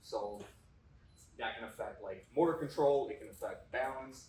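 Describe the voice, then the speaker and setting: A man speaks at a moderate pace with an Upper Midwest accent. Audible room echo surrounds his voice. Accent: Upper Midwest American. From North Dakota. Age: 30s. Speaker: strength coach and kinesiology teacher. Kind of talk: presentation to audience. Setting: stage with audience. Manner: informal.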